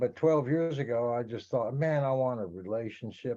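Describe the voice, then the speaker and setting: A man with an American accent and a medium pitch speaks at a moderate pace in a dark, mellow tone with ordinary pitch variation, against a quiet background. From Texas, Fort Worth. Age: 70s. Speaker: psychic and musician. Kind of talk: casual interview chat.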